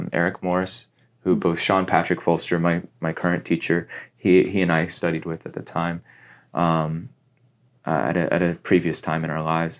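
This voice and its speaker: The man's pitch is very deep and low, with monotone, flat intonation. His pace is moderate. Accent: Midwestern American. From US Midwest (Cincinnati, Ohio). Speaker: actor and spiritual guide. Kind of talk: casual interview chat.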